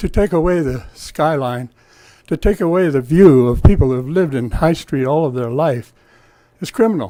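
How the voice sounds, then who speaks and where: Talking at a moderate pace, a man with an American accent has a fairly high pitch, a dark, mellow tone and lively intonation. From Truckee, California (US West). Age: 70s. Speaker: public commenter, longtime resident. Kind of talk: public comment at council meeting. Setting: town council meeting. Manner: animated.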